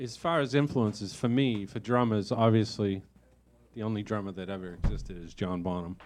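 Against a quiet background, a man with an unremarkable speaking voice talks fairly quickly at a fairly low pitch, with ordinary pitch variation and big swings in loudness. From South Boston. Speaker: rock band drummer. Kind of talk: casual interview. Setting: live venue recording.

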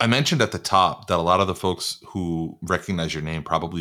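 The voice has a bright, sharp tone. It moves at a moderate pace. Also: man. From New York (Long Island and Queens), Puerto Rican. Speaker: podcast host. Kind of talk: interview. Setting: remote call.

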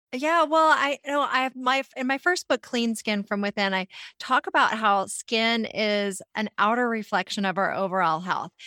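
In an ordinary speaking voice, a woman with fairly high pitch and lively intonation talks at a moderate pace, the sound dry and close with no echo on a very clean recording with a silent background. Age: 40s. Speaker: naturopathic physician. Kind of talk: interview.

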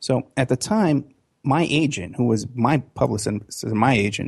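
An American man with lively intonation speaks at a fairly slow pace in a somewhat breathy voice. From New York City (Bronx, Staten Island). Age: 50s. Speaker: private investigator. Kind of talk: interview.

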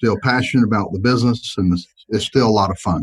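With a Southern US accent, a man speaks at a fairly low pitch with ordinary pitch variation. The recording is dry and close, without echo. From US South. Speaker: insurance agency owner. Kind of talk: interview.

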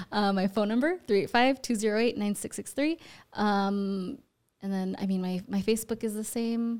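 A woman with a plain, everyday voice, fairly high in pitch, with ordinary pitch variation at a moderate pace, on a very clean recording with a silent background. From Utah, US (born in Ecuador, moved at four). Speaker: real estate agent. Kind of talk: casual interview. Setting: studio.

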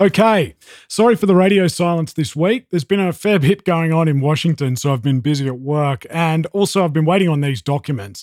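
Speaking with an Australian accent, a man talks fairly quickly with lively intonation, the sound dry and close with no echo. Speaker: podcast host. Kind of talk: podcast interview and analysis.

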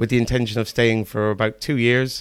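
Speaking with an Irish accent, a man keeps a fairly quick pace at a fairly low pitch. The recording is very clean, with a silent background. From Ireland, Kilkenny. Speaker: school computing teacher. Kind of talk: casual interview. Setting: classroom.

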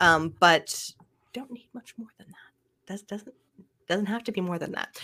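The speaker has a Canadian accent. Pitch variation is ordinary. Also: woman. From Canada (Ottawa). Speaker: podcast production company owner. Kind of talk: casual interview chat.

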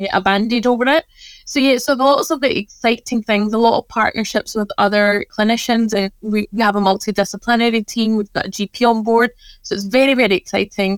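Fairly quick speech in a Scottish accent, with ordinary pitch variation and a dry, close sound with no echo. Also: woman, fairly high pitch for a woman. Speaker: pharmacist and wellness business owner. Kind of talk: casual interview chat.

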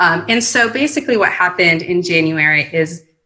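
A woman speaks at a moderate pace in a fairly low pitch, her tone bright and sharp, with ordinary pitch variation. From Mexico. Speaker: immigration attorney. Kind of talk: panel discussion on policy. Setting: remote call.

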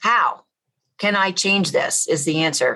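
With a Southern accent, a woman speaks in a bright, sharp tone. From US South. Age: 50s. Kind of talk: interview testimony. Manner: animated.

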